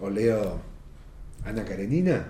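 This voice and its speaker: With an Argentine accent, a man speaks in a dark, mellow, somewhat breathy tone with ordinary pitch variation, and audible room echo surrounds him. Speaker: novelist. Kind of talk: interview.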